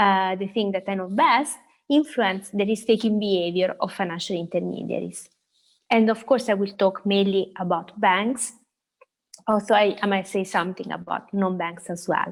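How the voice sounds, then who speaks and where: A woman talks at a moderate pace with a medium pitch. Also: ordinary pitch variation. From Italy. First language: Italian. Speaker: central bank economist. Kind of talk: lecture. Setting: video call. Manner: halting.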